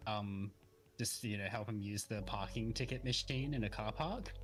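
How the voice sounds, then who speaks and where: Over music in the background, a man with an Australian accent speaks fairly slowly in a fairly low voice. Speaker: streaming guest. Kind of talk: casual chat.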